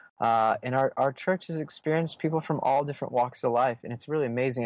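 In a plain, everyday voice, a man speaks at a fairly quick pace with fairly even intonation in a dry, close sound with no echo. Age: 30s. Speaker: pastor. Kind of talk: interview about preaching.

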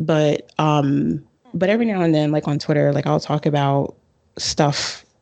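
Against a quiet background, a woman with an American accent talks at a moderate pace in a very deep, low pitch. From Bronx, New York. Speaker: astrologer and author. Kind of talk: casual interview.

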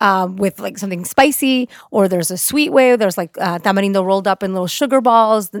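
A woman speaks at a fairly quick pace with lively intonation. The recording is very clean, with a silent background and a dry, close sound with no echo. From US West Coast (Orange County, California), born in Mexico. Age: 30s. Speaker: podcast host. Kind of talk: casual interview chat.

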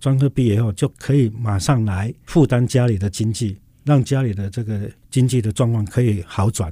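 A man's somewhat breathy, dark and mellow tone at a moderate pace. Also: medium pitch for a man, ordinary pitch variation. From Taiwan, Tainan. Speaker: university president. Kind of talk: interview.

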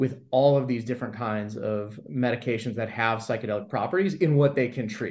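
An unremarkable speaking voice with an American accent, moving at a fairly quick pace. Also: man. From US West Coast (Los Angeles, San Fernando Valley). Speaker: emergency physician. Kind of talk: interview.

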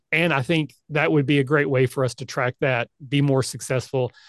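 Here is a man with an American accent and an ordinary speaking voice, pitched fairly high. He talks at a fairly quick pace in a dry, close sound with no echo. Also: quiet background. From US South, rural Kentucky. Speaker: podcast host and convention organizer. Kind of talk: casual chat.

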